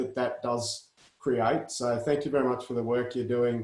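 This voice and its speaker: At a moderate pace, a man with a medium pitch speaks in fairly even intonation. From Australia. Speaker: industry association host. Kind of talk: online meeting chat.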